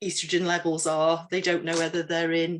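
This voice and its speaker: A woman talks with an English accent. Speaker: menopause trainer. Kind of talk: training talk. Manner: halting.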